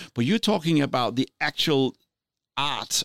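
Someone with a non-native accent speaks at a moderate pace, the sound dry and close with no echo. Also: man. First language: not English. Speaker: podcast co-host. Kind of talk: casual chat.

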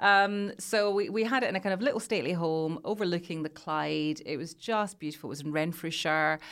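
In a Glasgow accent, a woman speaks at a fairly quick pace and fairly low pitch with hardly any pauses, on a very clean recording with a silent background. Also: ordinary pitch variation. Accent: Scottish (Glasgow). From Scotland (Glasgow area). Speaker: radio presenter and journalist. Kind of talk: casual interview chat.

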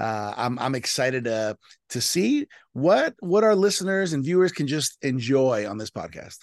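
An ordinary speaking voice from a man in an American accent, medium pitch and lively intonation at a moderate pace, with a dry, close sound with no echo and a quiet background. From South Florida, Colombian parents. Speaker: pastor. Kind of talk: interview.

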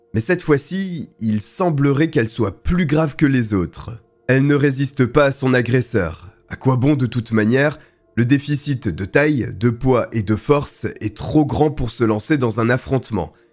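Music plays in the background as a man of medium pitch speaks in a solemn, dramatic tone at a fairly slow pace with lively intonation. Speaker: true crime storyteller. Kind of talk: true-crime narration. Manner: solemn, measured storytelling with dramatic, grave emphasis on the horrors; steady, fluent, scripted-sounding delivery.

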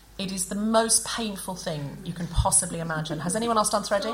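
Through noticeable background noise, a woman speaks at medium pitch with lively intonation. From Australia. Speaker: comedian and podcast host. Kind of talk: live comedy podcast chat. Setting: stage with live audience.

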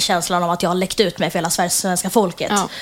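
Recorded very cleanly against a silent background, a woman speaks at a medium pitch with monotone, flat intonation. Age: 20s. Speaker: social media creator. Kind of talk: interview. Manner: halting.

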